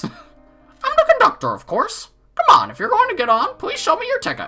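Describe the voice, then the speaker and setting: In a put-on character voice with a playful tone, a man talks at a fairly quick pace and an extremely high pitch while faint music plays behind him. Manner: playful, cartoonish.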